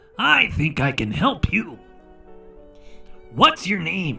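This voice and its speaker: Over clear background music, a man puts on a raspy character voice at a fairly high pitch. He speaks very slowly. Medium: read story. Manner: friendly, upbeat.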